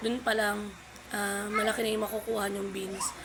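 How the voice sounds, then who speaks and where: A woman talks at a moderate pace in a fairly high pitch, with noticeable background noise around her. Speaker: vlogger, live streamer. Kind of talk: casual tutorial vlog. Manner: halting, many fillers.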